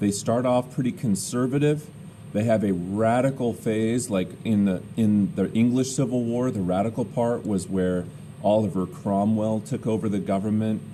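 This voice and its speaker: A man with a fairly low voice speaks at very even loudness, with audible room echo. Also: ordinary pitch variation, moderate pace. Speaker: teacher. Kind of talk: lecture.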